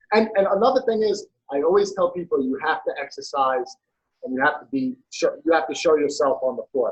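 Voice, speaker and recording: The speaker has a New York accent and talks at a fairly quick pace. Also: man. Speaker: personal trainer. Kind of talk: casual interview chat.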